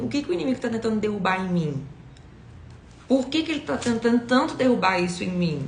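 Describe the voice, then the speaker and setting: A woman's fairly high voice at a very fast pace, with very wide pitch swings. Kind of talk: devotional teaching. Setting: livestream.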